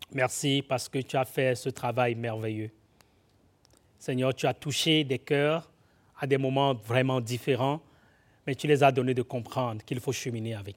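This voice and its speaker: A man's medium-pitched voice with fairly even intonation, big swings in loudness and long, frequent pauses, on a very clean recording with a silent background. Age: 40s. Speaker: guest preacher. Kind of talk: sermon; prayer. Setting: church.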